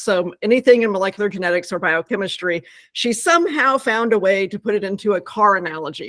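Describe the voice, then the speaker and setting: A woman's medium-pitched voice, dry and close with no echo. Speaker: scientist and pet product company co-founder. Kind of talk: interview explanation. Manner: fast.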